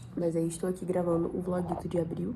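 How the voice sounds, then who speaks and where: Noticeable background noise and audible room echo around a female voice. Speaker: vlogger, law student. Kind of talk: casual vlog chat. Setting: living room at home, at night.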